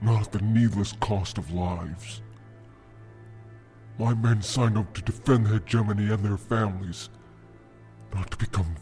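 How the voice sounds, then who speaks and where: Clear music plays in the background as a man uses a put-on character voice. He speaks at a moderate pace. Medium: audio drama. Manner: earnest, troubled.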